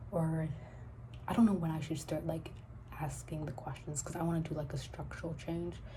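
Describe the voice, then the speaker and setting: A soft-spoken woman talks at a fairly quick pace, broken by long, frequent pauses, with audible room echo. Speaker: novelist vlogger. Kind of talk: casual vlog. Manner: soft-spoken, quiet; halting, many fillers.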